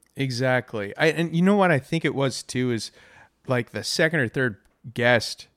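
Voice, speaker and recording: On a very clean recording with a silent background and a dry, close sound with no echo, a man with a plain, everyday voice speaks at a medium pitch with lively intonation. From Irving, Texas (Dallas area). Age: 30s. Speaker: musician. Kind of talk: casual chat. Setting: home dining room, some echo.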